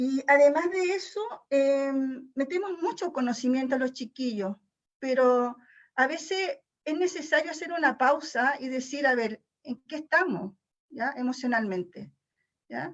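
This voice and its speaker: A woman with a high pitch talks at a fairly slow pace with lively intonation. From Chile. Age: 60s. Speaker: teacher attending seminar. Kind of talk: audience question and reflection. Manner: halting.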